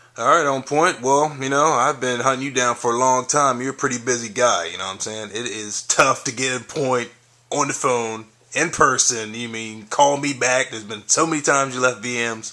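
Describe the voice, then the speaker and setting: Noticeable background noise sits behind a man speaking at a moderate pace. His medium-pitched voice keeps a fairly even intonation. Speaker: interviewer. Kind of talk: interview. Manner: stumbling over words.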